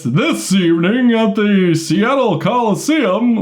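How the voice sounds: Putting on a character voice, a man speaks at high pitch and a fairly slow pace.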